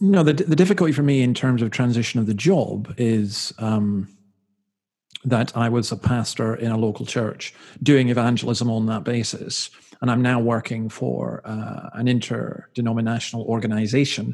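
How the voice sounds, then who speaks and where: The speaker has a Scottish accent and keeps a moderate pace. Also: man, medium pitch for a man, ordinary pitch variation. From Scotland. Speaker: minister. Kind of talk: casual chat.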